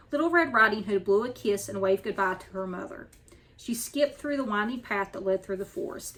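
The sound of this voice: Reading in an unforced voice.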